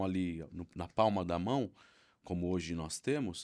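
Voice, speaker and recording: The intonation is lively and the pace fairly slow, on a very clean recording with a silent background. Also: man. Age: 40s. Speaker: football fan. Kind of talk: podcast conversation. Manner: halting, many repetitions and fillers.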